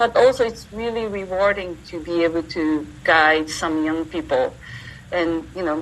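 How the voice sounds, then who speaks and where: A woman speaks with a Japanese accent. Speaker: entrepreneur and university teacher. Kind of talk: interview.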